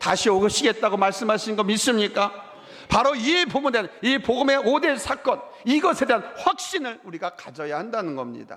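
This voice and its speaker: A man with a high-pitched voice speaks with lively intonation over noticeable background noise. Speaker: pastor. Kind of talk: sermon. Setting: church. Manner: fast when preaching.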